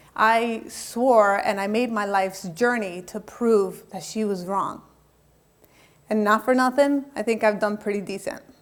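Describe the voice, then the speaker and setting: A woman with a plain, everyday voice speaks in an American accent, her pitch fairly high and her intonation fairly even. The pace is fairly slow, and the recording is very clean with a silent background. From Colombia, raised in the US from age five (Miami). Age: 40s. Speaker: motivational speaker and life coach. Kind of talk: TEDx talk, personal testimony.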